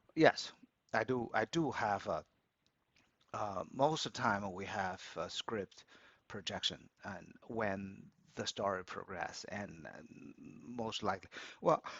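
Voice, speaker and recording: A man's fairly low voice in a Chinese accent at a very slow pace, with long, frequent pauses, ordinary pitch variation and big swings in loudness. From China, Beijing. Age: 60s. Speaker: opera club organizer and business analyst. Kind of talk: interview. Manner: halting, many repetitions and fillers.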